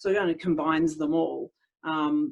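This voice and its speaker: Speaking fairly slowly, a woman with an Australian accent uses lively intonation. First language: Italian. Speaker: speech pathologist. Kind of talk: interview. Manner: hesitant, many fillers.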